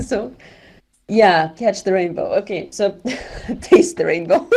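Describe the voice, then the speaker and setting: A woman with a non-native accent and very wide pitch swings. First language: not English. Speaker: event organizer in a VR discussion. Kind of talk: casual group discussion. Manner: halting, with many fillers.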